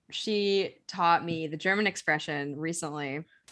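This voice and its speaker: At a fairly slow pace, a woman talks in a very deep, low pitch with ordinary pitch variation. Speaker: podcast host. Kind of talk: casual podcast chat.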